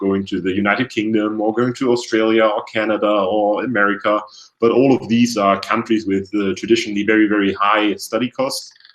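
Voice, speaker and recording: A man with a German accent, fairly low pitch, fairly quick pace, and monotone, flat intonation. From Germany, Hamburg. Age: 20s. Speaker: university student. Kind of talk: webinar presentation. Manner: hesitant, many fillers.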